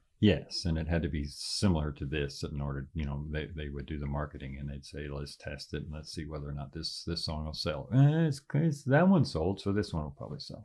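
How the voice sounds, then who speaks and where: A man talks at a fairly quick pace. He hardly pauses at all. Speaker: father of the host, musician. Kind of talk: casual interview chat. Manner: soft-spoken, relaxed.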